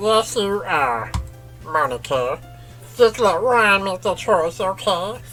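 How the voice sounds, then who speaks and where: Doing a put-on character voice, a woman speaks at a fairly slow pace and medium pitch, swinging her pitch very widely over clear music in the background. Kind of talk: comic parody. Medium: game stream. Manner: profane, blunt.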